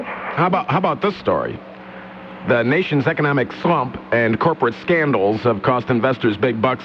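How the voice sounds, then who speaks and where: Music plays behind a man talking at a moderate pace. His medium-pitched voice has lively intonation. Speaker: talk radio host. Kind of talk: talk radio hosting. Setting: studio.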